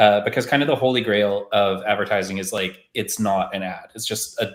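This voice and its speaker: A man with a Canadian accent and an unremarkable speaking voice talks at a fairly quick pace. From Canada. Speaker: marketing podcast host. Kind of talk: casual discussion on a live stream. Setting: live stream call.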